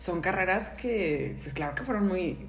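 Speaking fairly slowly, a woman is heard with audible room echo and noticeable background noise. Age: 20s. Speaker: graphic designer, podcast host. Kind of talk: casual chat.

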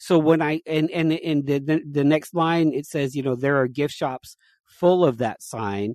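This man talks at a fairly slow pace in an ordinary speaking voice, with ordinary pitch variation and a dry, close sound with no echo. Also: fairly high pitch for a man, quiet background. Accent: American. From Las Vegas area, Nevada. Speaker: sign maker. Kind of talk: casual chat.

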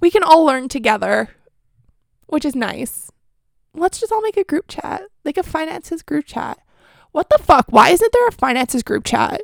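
A woman speaks in an animated tone at an extremely high pitch and a moderate pace, with very wide pitch swings, in a dry, close sound with no echo. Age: 20s. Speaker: podcast host. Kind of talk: casual chat.

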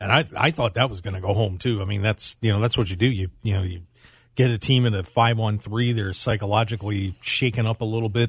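Against a quiet background, a man talks at a very fast pace in a somewhat breathy, fairly low voice with fairly even intonation. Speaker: producer and co-host. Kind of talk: casual sports banter on radio. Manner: laughing, jokey, easygoing.

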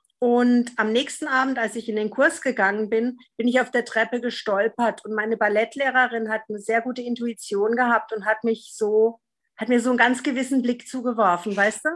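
A woman speaks at a moderate pace with hardly any pauses, her pitch fairly high and her intonation fairly even. It is an unremarkable speaking voice. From Freiburg, southwestern Germany. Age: 50s. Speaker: podcast guest, recovering drinker. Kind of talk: casual interview conversation.

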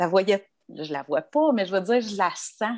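This is a woman speaking. She has a Quebec accent. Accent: Québécois French. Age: 40s. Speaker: bereaved sister. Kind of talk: casual interview.

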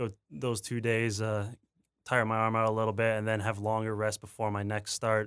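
An unremarkable male speaking voice with a Canadian accent, medium in pitch at a fairly quick pace, on a very clean recording with a silent background. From Ontario, Canada. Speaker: college baseball player. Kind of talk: interview.

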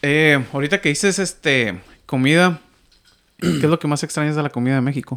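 A man with a plain, everyday voice speaks at a fairly quick pace and fairly high pitch with ordinary pitch variation, on a very clean recording with a silent background. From Mexico. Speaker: podcast host. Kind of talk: casual chat.

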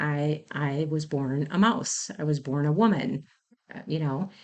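With an Upper Midwest accent, a woman speaks at a very deep, low pitch with ordinary pitch variation against a quiet background. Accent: Upper Midwest American. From Wisconsin, Racine County. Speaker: fire captain and EMS program director. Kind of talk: interview. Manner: halting.

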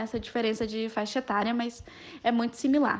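A woman at a fairly quick pace. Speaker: law student. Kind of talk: podcast interview.

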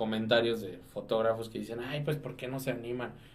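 A man talks with fairly level intonation, his voice carrying audible echo from the room. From Mexico, Dolores (Guanajuato). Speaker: photographer. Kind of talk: casual chat. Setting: studio.

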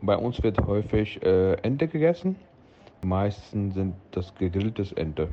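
A man speaks at a very slow pace with a fairly low pitch over noticeable background noise. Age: 40s. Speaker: restaurant owner. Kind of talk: interview. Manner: halting.

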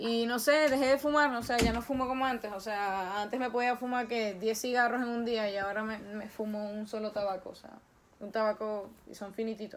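A woman talks at a fairly quick pace in an unremarkable speaking voice. Her pitch is fairly high and her intonation fairly even, while her loudness swings a lot. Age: 20s. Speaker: social media influencer. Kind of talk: casual interview.

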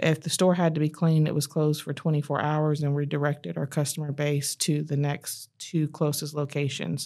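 Very deep, low-pitched woman with an American accent, dark and mellow in tone, monotone and flat, fairly quick with hardly any pauses, on a very clean recording with a silent background. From North Carolina, Fayetteville. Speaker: human resources director. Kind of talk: interview. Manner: frequent filler 'um'.

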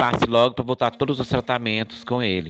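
The sound is dry and close, with no echo. A man talks at a medium pitch and moderate pace. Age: 50s. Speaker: adoptive father. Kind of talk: testimony. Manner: halting, many repetitions.

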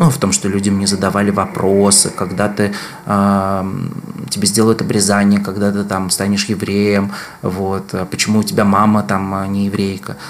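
Over noticeable background noise, a man talks in a fairly low pitch with a monotone, flat intonation. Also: moderate pace. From Moscow, Russia. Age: 40s. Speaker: researcher and public health activist. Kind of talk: casual interview conversation. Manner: thoughtful, hesitant with fillers.

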